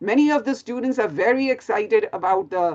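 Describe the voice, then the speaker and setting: A woman speaks with an Indian accent at a moderate pace. Her pitch is fairly high. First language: Hindi. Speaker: physics professor. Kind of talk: lecture. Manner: halting.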